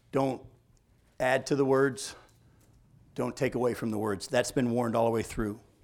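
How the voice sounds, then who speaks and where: A man at a medium pitch, moderate pace and fairly even intonation, with long, frequent pauses. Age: 50s. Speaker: pastor. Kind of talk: sermon.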